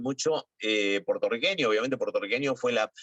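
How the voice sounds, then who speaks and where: With an Argentine accent, a man uses a bright, sharp tone and a fairly high pitch with very wide pitch swings, in a dry, close sound with no echo. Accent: Rioplatense Argentine Spanish. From Argentina. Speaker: TV and radio journalist. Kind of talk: interview. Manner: hesitant, many fillers.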